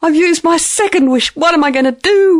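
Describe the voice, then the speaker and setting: Squeaky and pitched extremely high, this voice is a put-on character voice. The delivery comes at a fairly quick pace. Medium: read story. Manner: rambling, hesitant.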